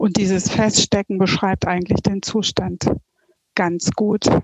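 A woman uses a normal speaking voice at a medium pitch with fairly even intonation, the sound dry and close with no echo. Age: 50s. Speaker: coaching client. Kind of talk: interview testimony.

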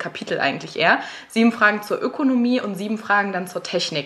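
Over noticeable background noise, a woman speaks at a moderate pace with a fairly high pitch and ordinary pitch variation. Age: 20s. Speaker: host's girlfriend, guest interviewer. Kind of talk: casual chat.

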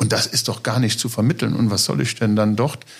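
A man speaks in a somewhat breathy voice. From Trier region, Rhineland-Palatinate. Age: 50s. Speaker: state secretary and trained farmer. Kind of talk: political podcast discussion. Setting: studio in party office.

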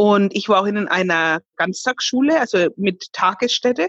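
Somewhat breathy, a woman speaks at a fairly slow pace with lively intonation, the sound dry and close with no echo. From Bavaria, Fürth (Franconia). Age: 30s. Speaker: singer. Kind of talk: interview.

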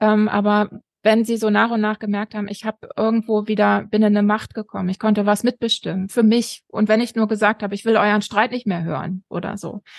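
At a fairly quick pace, a woman with a fairly high pitch speaks in a monotone, flat intonation, recorded with a dry, close sound and no echo. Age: 40s. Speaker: educator and family counselor, author. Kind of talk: interview. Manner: frequent hesitations.

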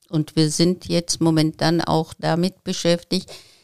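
Recorded dry and close with no echo, a woman with a Turkish accent speaks very slowly in a fairly low, monotone, flat voice. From Turkey. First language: Turkish (speaking German). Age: 70s. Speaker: local politician, retired teacher. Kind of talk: interview.

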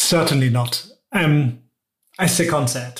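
A man with a German accent, fairly slow pace and ordinary pitch variation. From Germany. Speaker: tech executive. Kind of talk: interview.

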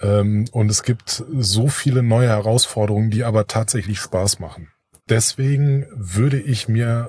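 This man has a medium pitch and a dark, mellow tone. His voice is somewhat breathy. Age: 40s. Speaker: association board member, IT entrepreneur. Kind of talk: interview. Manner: hesitant with many filler sounds.

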